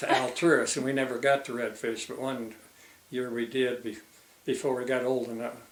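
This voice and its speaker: Amid noticeable background noise and audible room echo, a man speaks at a fairly quick pace with a medium pitch and monotone, flat intonation. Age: 80s+. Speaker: retired fisheries biologist. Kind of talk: oral history interview. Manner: halting.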